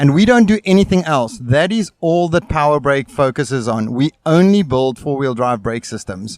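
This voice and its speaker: On a very clean recording with a silent background and a dry, close sound with no echo, a man with a South African accent speaks at a moderate pace with hardly any pauses, his fairly high pitch making very wide swings. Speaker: brake company representative. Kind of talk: interview at trade show. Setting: outdoor expo booth.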